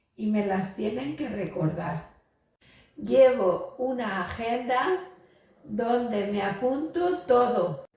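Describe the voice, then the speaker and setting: Speaking at a very slow pace with ordinary pitch variation, a woman's voice carries audible room echo. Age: 70s. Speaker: brain injury survivor. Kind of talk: testimony.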